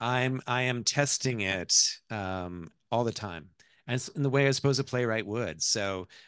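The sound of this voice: Someone reads in a voice that sounds unforced.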